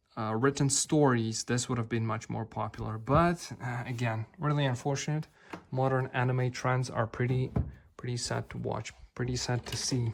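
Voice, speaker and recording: Somewhat breathy, a man at medium pitch speaks at a moderate pace with fairly even intonation. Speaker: author and book collector video creator. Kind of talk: casual collection review. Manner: hesitant with fillers.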